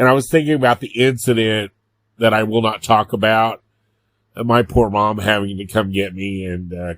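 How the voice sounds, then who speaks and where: A man's fairly low voice, an ordinary speaking voice, with ordinary pitch variation at a moderate pace, dry and close with no echo, on a very clean recording with a silent background. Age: 50s. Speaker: podcast host. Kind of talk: casual monologue.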